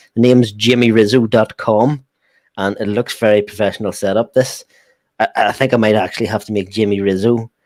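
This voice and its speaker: Delivered in an Irish accent at a fairly quick pace, the voice has monotone, flat intonation and a dry, close sound with no echo. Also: man, fairly low pitch for a man. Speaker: football fan show host. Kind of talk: casual live stream chat.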